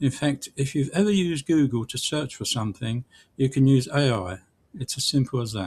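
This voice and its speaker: A man speaks in a British accent, his voice somewhat breathy with lively intonation. The recording is very clean, with a silent background. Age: 70s. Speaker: online business tutorial creator. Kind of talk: tutorial.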